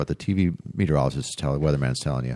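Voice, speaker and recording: A man speaks with ordinary pitch variation and an American accent. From Wisconsin. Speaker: retired meteorologist. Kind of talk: interview.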